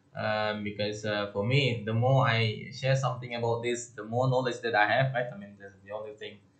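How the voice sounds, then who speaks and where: With a somewhat breathy voice and fairly even intonation, a man speaks amid audible room echo. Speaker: lecturer. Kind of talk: lecture. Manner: halting, many fillers.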